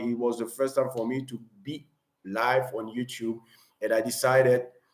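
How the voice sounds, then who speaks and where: Speaking at a moderate pace, a man with a non-native accent holds a medium pitch. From Cameroon. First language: not English. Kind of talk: live stream talk. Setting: live stream.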